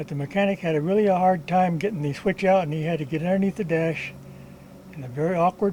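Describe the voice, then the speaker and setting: A man speaks at a fairly quick pace in a high pitch, with ordinary pitch variation. Noticeable background noise runs under his voice. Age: 80s+. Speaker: retired mechanic, DIY car repair video maker. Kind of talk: tutorial. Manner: casual, with frequent hesitations.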